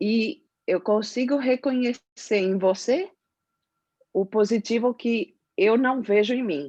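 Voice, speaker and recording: A woman speaks at a very slow pace with a Spanish accent, a fairly high pitch, lively intonation and a dark, mellow tone, in a dry, close sound with no echo. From Spain. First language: Spanish (speaking Portuguese). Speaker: audience participant. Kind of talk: casual chat.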